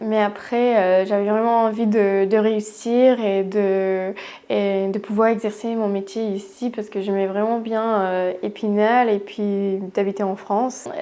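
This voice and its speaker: Her dark, mellow voice stays monotone and flat as this woman speaks at a very slow pace. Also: medium pitch for a woman. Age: 20s. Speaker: podiatrist. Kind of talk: testimony. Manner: halting, many hesitations.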